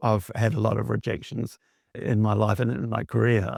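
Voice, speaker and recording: At a moderate pace, the man's voice comes across dry and close, with no echo. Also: very clean recording, silent background. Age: 60s. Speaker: mixed-media artist, former textile designer. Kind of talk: interview. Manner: halting.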